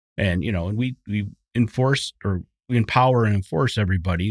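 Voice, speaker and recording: A man with an Upper Midwest US accent talks at a fairly quick pace, his pitch fairly low with ordinary variation. The sound is dry and close with no echo, on a very clean recording with a silent background. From southeastern Wisconsin. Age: 50s. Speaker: construction safety manager. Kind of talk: casual interview. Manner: hesitant, many fillers.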